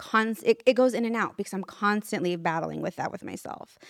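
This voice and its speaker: A woman with an American accent, medium pitch and fairly even intonation at a moderate pace, on a very clean, dry, close recording with no echo and a silent background. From California. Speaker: makeup artist. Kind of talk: casual chat. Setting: studio with audience. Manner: reserved.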